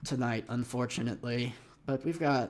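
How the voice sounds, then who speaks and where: A man puts on a raspy character voice at a medium pitch. He keeps a moderate pace and a fairly even intonation. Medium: actual play. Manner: casual, hesitant.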